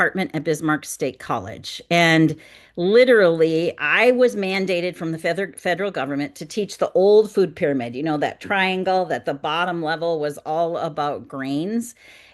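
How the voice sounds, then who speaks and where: A woman with an Upper Midwest accent talks at a moderate pace in a fairly low pitch with lively intonation. The background is quiet. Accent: Upper Midwest American. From North Dakota, US Midwest. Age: 60s. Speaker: wellness coach. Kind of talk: webinar presentation.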